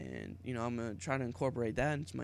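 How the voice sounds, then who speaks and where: With an American accent, a man at medium pitch shows vocal fry and ordinary pitch variation. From Pittsburgh, western Pennsylvania, US. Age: 20s. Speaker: YouTuber, college student. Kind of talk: casual vlog monologue.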